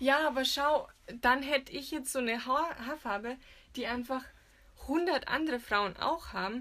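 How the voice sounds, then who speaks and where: A woman's high-pitched voice with a bright, sharp tone, long, frequent pauses, and a very clean recording with a silent background. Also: ordinary pitch variation, moderate pace. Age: 20s. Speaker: magazine editor. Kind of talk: casual chat. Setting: recording in a walk-in wardrobe.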